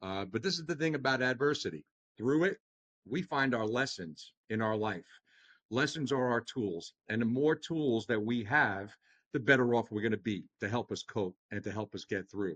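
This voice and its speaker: A man with a Long Island accent, lively intonation and a moderate pace, recorded dry and close with no echo against a quiet background. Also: medium pitch for a man. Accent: Long Island New York. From Long Island, New York. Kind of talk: podcast interview. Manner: animated, talks with hands.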